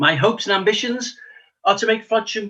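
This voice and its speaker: A man speaks with a Liverpool accent. His voice is raised and projected, at a fairly quick pace. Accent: Liverpool (Scouse). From Liverpool, England. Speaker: local election candidate, retired police detective. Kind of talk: election hustings speech.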